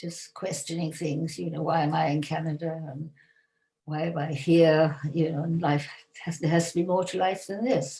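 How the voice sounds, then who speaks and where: A woman speaks in a very deep, low voice that is somewhat breathy, with fairly even intonation. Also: moderate pace. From England. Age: 80s+. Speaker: yoga teacher. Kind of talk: interview.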